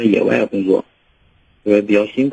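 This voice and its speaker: A man speaks at a moderate pace and a medium pitch. His intonation is monotone and flat, and the sound is dry and close with no echo. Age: 30s. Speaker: caller, oil industry field worker. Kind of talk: call-in advice. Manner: halting.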